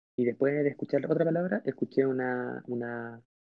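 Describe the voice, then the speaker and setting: Fairly even intonation carries a plain, everyday voice. The pace is moderate. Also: man. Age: 30s. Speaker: church youth leader. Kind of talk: testimony.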